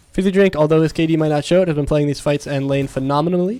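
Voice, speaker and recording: Noticeable background noise sits behind a man whose fairly high pitch shows ordinary variation. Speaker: esports caster. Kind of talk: live commentary. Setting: live stream. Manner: loud, yelling at times; fast.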